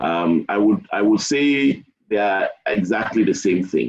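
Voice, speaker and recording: The man's voice sits fairly low, with ordinary pitch variation. He speaks at a very slow pace. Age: 60s. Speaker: engineer giving a webinar talk. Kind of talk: webinar Q&A.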